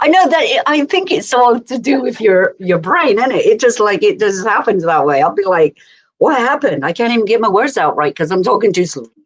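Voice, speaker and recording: A woman speaks at a fairly quick pace with a fairly high pitch. Her voice has very wide pitch swings and vocal fry. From England. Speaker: live stream host. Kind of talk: casual chat.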